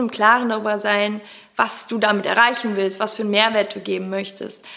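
Noticeable background noise sits behind a woman speaking at medium pitch. Her pace is moderate and her intonation fairly even. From Germany, Cologne. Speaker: personal development coach and podcaster. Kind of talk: interview.

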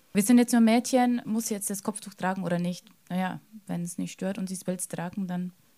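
Somewhat breathy and dark, mellow in tone, this voice moves at a fairly quick pace with fairly even intonation. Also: woman, medium pitch for a woman. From Lower Bavaria, Germany. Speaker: secondary school teacher. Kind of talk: panel discussion.

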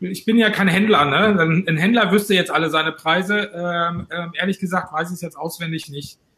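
A man speaks at a moderate pace with a high pitch. His intonation stays fairly even. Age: 50s. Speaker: trade association president. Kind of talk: interview.

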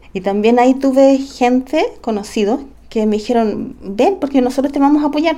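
In a dark, mellow tone, a woman speaks with very wide pitch swings. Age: 40s. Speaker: special education teacher. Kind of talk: testimony.

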